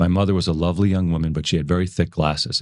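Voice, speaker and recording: The man speaks at a very deep, low pitch. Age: 60s. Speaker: film producer and businessman. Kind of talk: interview. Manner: conversational with hesitations.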